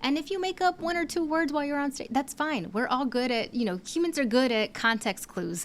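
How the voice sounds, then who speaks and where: A woman with a Spanish accent talks at a fairly quick clip with hardly any pauses. Her voice is high-pitched and her intonation is lively. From San Francisco Bay Area, US. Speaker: public speaking coach. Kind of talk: podcast interview.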